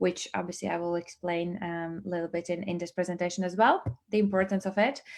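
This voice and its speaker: In a Latvian accent, a woman speaks at medium pitch with fairly even intonation. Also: quiet background. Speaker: business trainer and network marketing presenter. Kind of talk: online presentation. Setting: livestream. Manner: hesitant, many fillers.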